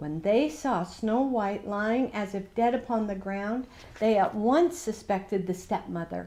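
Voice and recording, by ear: With ordinary pitch variation, the text is read aloud in a natural voice.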